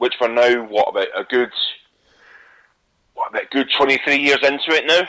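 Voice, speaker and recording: Talking at a fairly quick pace, a man with a Scottish accent leaves long, frequent pauses. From Scotland. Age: young. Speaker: internet radio host. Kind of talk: casual talk show monologue. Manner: animated.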